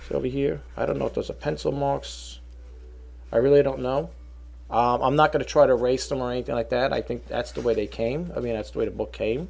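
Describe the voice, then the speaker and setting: A man speaks with a New York accent. His pace is very fast. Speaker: online reseller. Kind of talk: product showcase video; casual product showing chat. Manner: halting, filler-heavy. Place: home room. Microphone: webcam.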